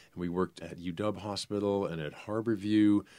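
A man with a normal speaking voice, fairly low pitch, and moderate pace. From New Hampshire, US. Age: 60s. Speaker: dancer and vocal performer. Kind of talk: interview.

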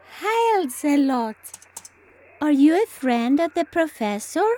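A woman's high-pitched voice with very wide pitch swings, a fairly slow pace and a dry, close sound with no echo. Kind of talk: comic spy spoof radio acting.

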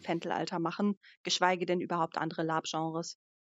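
A woman talks at a moderate pace. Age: 30s. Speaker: live-action role-play organizer. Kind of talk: casual chat.

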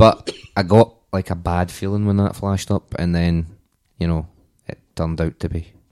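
In a Glasgow accent, a man with a very deep, low voice speaks with monotone, flat intonation in a very clean recording with a silent background and a dry, close sound with no echo. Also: moderate pace. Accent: Scottish, Glasgow. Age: 30s. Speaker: football podcast panelist. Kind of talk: casual chat.

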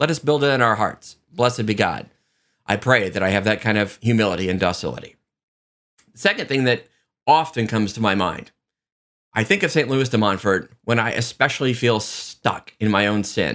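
Using a normal speaking voice, a man talks at a moderate pace and medium pitch. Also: ordinary pitch variation. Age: 40s. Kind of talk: devotional reflection. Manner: conversational.

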